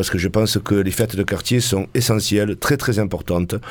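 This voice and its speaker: A man's fairly low-pitched, unremarkable speaking voice, fairly quick in pace with fairly even intonation. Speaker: band member. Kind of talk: casual live radio chat. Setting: radio studio.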